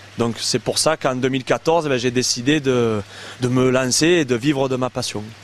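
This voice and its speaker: A man speaks at a fairly slow pace in a medium pitch, with fairly even intonation, very even loudness and noticeable background noise. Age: 30s. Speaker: koi carp breeder and landscaper. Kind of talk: interview. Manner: hesitant, many fillers.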